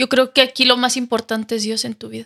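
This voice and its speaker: Bright and sharp in tone, the voice holds a monotone, flat intonation. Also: woman. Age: 20s. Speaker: TV show contestant. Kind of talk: casual faith interview.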